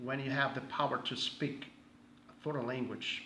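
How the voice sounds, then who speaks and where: In a Brazilian Portuguese accent, a man speaks at a medium pitch with monotone, flat intonation, and audible room echo surrounds him. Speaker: pastor. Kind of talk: casual self-introduction. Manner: halting; hesitant with many fillers.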